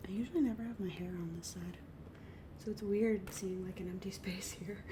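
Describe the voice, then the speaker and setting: Whispering and soft-spoken, a woman talks at a fairly quick pace over noticeable background noise. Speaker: ASMR creator. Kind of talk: casual talk to camera, ASMR chit chat. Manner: soft-spoken, whispery.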